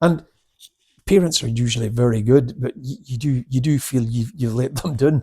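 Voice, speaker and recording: A man's dark, mellow, somewhat breathy voice in a Scottish accent, with ordinary pitch variation. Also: medium pitch for a man, moderate pace. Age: 60s. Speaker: karate instructor. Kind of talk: casual chat.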